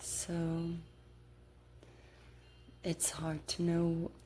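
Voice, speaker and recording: The speaker is soft-spoken, with a relaxed tone. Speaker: ASMR creator. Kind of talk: ASMR whispered-style ramble to camera while playing a card game. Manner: soft-spoken, relaxed.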